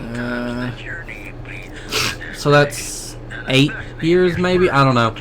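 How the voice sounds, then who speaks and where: A man's fairly high-pitched voice at a very slow pace, ordinary pitch variation, and noticeable background noise. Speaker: gaming YouTuber. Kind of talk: let's play commentary. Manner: stuttering, stammering; halting.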